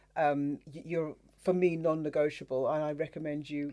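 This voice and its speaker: The speaker has a British accent and a fairly quick pace. The background is quiet. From UK. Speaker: podcast host. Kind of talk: podcast interview.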